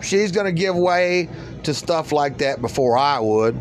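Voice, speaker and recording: An unremarkable speaking voice belongs to a man with a fairly high pitch and an American accent. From eastern US. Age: 50s. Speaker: spiritual podcaster. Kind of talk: solo spiritual monologue.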